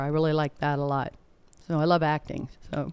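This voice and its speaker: Someone with an American accent talks at a moderate pace in a very clean recording with a silent background. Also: woman. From Indiana. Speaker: actress, singer and comedian. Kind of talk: interview. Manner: soft-spoken.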